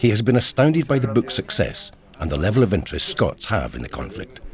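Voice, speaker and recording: A man talks at a very fast pace in a fairly low voice, his pitch swinging very widely, with music playing in the background. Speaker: actor. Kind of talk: documentary narration.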